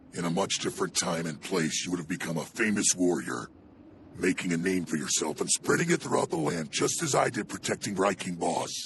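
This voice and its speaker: A man speaks at a fairly quick pace in a put-on character voice with a very deep, low pitch, over clear background noise. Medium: fan dub.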